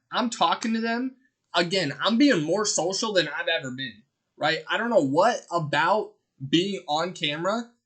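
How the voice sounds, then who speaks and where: A loud, animated man at a high pitch and moderate pace. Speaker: streamer. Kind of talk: casual chat.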